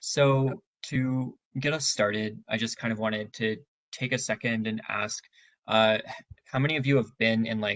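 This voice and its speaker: Soft-spoken and medium in pitch, a man talks at a moderate pace with fairly even intonation. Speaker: tutoring center staff trainer. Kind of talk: training session. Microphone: very quiet, had to use computer mic.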